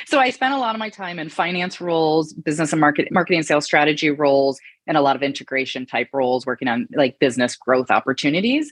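A woman with a Michigan accent talks very fast, with hardly any pauses and lively intonation. Her pitch is very deep and low, and the sound is dry and close with no echo. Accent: US Midwestern (Michigan). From Michigan, small town. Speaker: real estate investor, former corporate executive. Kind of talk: interview conversation.

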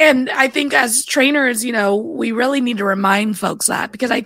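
There is noticeable background noise behind a woman with an American accent. Her pitch variation is ordinary. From US West Coast, Bay Area California. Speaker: podcast host and dispatcher. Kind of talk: casual interview chat.

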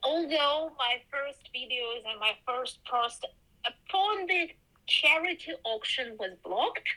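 Speaking in a Ukrainian accent, a woman uses a raised, projected voice at a high pitch, with lively intonation and a very slow pace. Noticeable background noise is present. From Ukraine. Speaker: quilter and textile artist. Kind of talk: interview. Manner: halting.

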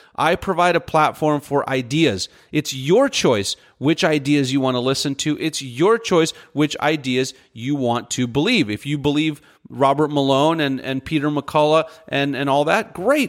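In an ordinary speaking voice, a man at fairly high pitch talks at a moderate pace with ordinary pitch variation on a very clean recording with a silent background. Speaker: podcast host. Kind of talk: angry rant; solo opinion commentary. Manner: fired up, indignant; direct, conversational.

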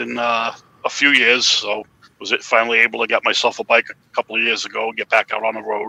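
A man with a Boston accent is heard in a dry, close sound with no echo. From Massachusetts, Swansea. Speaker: caller. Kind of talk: casual chat.

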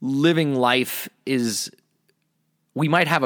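An American-accented man, very cleanly recorded against a silent background. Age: 40s. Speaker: podcast host. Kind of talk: solo monologue.

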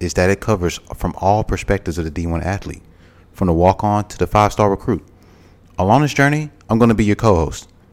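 A man speaks in a Southern US accent with lively intonation. His pitch is fairly low. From Mobile, Alabama. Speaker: podcast co-host, former college football player. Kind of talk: casual chat.

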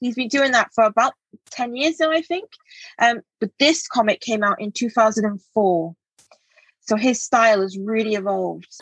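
Somewhat breathy and fairly high in pitch, a woman speaks at a moderate pace in a dry, close sound with no echo. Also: ordinary pitch variation. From England. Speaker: comic artist. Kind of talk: casual chat. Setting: studio with host.

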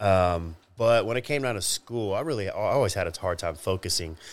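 The speaker has an American accent and keeps a moderate pace. Pitch variation is ordinary. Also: man. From Texas, Dallas-Fort Worth area. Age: 40s. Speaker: former professional bodybuilder. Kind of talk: interview. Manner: halting.

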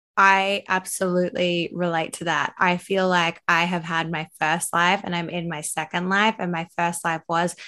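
A bright, sharp tone in an Australian accent, monotone and flat, against a quiet background. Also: woman. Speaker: podcast host and makeup artist. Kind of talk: casual chat.

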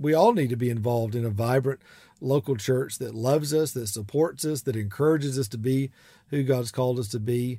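Speaking at a moderate pace in a strong Southern US accent, a man uses a medium pitch with ordinary variation and a warm, dark, mellow tone, on a very clean recording with a silent background. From US South, South Georgia. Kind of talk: solo podcast advice monologue. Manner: warm, conversational with frequent laughs.

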